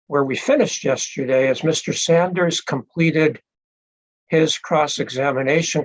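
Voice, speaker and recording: In a normal speaking voice, a man talks at a fairly slow pace and fairly high pitch with fairly even intonation. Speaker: presiding hearing officer. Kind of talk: formal hearing proceedings. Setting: video call. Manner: formal, with frequent fillers.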